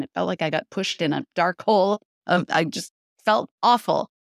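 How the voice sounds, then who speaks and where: An ordinary speaking voice at a moderate pace with ordinary pitch variation, in a very clean recording with a silent background and a dry, close sound with no echo. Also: woman. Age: 60s. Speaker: intermittent fasting coach. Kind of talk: interview.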